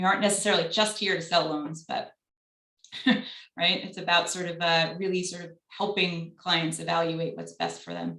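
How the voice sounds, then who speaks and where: Speaking with a Long Island accent at a moderate pace, a woman with a fairly low pitch keeps a monotone, flat intonation while her loudness swings widely. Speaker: business advisor at a lender. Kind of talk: panel Q&A on video call. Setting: video call.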